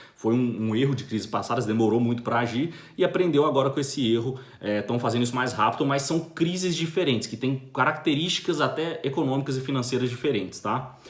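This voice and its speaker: A man with a Brazilian accent uses ordinary pitch variation, with audible room echo. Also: medium pitch for a man, fairly quick pace. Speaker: finance commentator. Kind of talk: video monologue commentary. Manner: fast.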